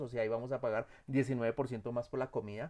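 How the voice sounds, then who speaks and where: A man speaks at a very fast pace and a medium pitch. The background is quiet. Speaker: instructor. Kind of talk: lecture. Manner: halting.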